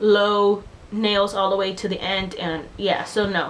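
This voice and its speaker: A woman speaks with a Spanish accent at a fairly high pitch, with noticeable background noise. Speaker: beauty vlogger. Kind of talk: casual vlog chat. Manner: casual, filler-heavy.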